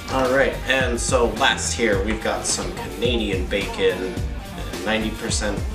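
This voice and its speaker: At a moderate pace, a man talks while clear music sounds in the background. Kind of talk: casual cooking tutorial. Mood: playful, joking. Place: kitchen.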